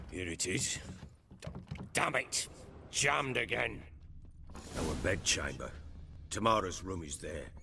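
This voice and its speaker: A man puts on a raspy character voice with a very deep, low pitch and very wide pitch swings. He speaks at a fairly slow pace with long, frequent pauses. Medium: video game. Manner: blunt, clipped, commanding.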